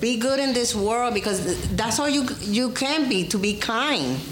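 With an American accent and a high pitch, a woman speaks at a fairly slow pace with hardly any pauses and very even loudness, over noticeable background noise. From New York, US. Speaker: livestream guest. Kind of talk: casual chat. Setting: livestream with chat.

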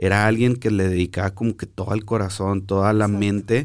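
A man's fairly low voice at a moderate pace, fairly even in intonation, on a very clean recording with a silent background. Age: 30s. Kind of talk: casual chat. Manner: halting.

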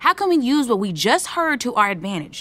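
A woman puts on a character voice, fairly high-pitched and fairly quick, with a bright, sharp tone and big swings in pitch.

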